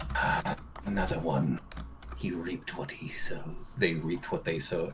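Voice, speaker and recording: A man uses a put-on character voice with a very deep, low pitch. He keeps a moderate pace over clear background noise. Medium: actual play. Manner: archaic, cryptic.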